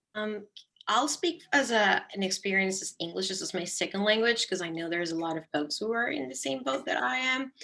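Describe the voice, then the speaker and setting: A woman with a Spanish accent talks at a fairly quick clip, her mid-range voice swinging very widely in pitch. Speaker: nonprofit account manager, alumni panelist. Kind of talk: panel discussion.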